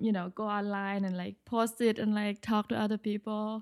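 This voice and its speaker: A woman speaks in a Thai accent with monotone, flat intonation. The sound is dry and close with no echo, on a very clean recording with a silent background. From Thailand, Bangkok. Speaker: interior design architect. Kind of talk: interview. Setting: studio.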